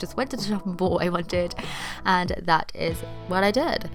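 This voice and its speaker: Over noticeable background noise, a woman with a British accent talks at a fairly quick pace. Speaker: DIY YouTuber. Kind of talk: tutorial. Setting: at home. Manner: casual, chatty.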